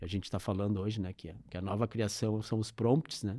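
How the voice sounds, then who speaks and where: A man's dark, mellow tone, dry and close with no echo, on a very clean recording with a silent background. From southern Brazil, Porto Alegre. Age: 60s. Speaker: advertising executive. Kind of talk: interview.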